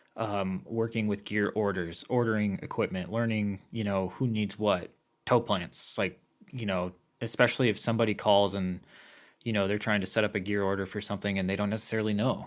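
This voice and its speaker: In a fairly low, flat monotone, a man talks at a fairly quick pace on a very clean recording with a silent background. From US Midwest, Iowa. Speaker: film crew member. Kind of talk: casual podcast interview. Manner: halting, many fillers.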